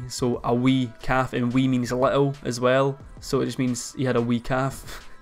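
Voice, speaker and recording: A man with a Scottish accent at a moderate pace, monotone and flat in intonation, over faint music in the background. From Scotland. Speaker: YouTuber. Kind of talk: casual talk to camera. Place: home room.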